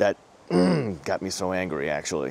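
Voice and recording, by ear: A man's voice has a slightly mellow tone and vocal fry.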